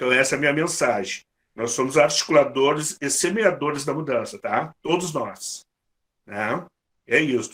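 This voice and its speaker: At a moderate pace, a man speaks with ordinary pitch variation and a fairly high pitch. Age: 60s. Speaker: workshop coordinator. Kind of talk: closing remarks to workshop group. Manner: halting, with frequent repetitions.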